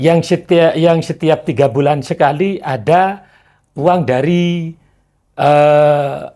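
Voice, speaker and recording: At a very slow pace, a man speaks in a dark, mellow tone with fairly even intonation and very even loudness. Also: fairly high pitch for a man, very clean recording, silent background. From East Java, Probolinggo, Madurese descent. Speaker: lawyer. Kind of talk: interview. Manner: hesitant, many fillers.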